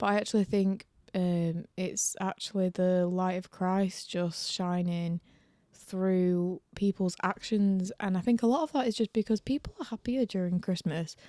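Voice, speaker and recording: At a moderate pace, a woman speaks with a dark, mellow tone, the sound dry and close with no echo. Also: very clean recording, silent background. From northern England, Lancashire. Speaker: podcast co-host. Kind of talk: casual chat.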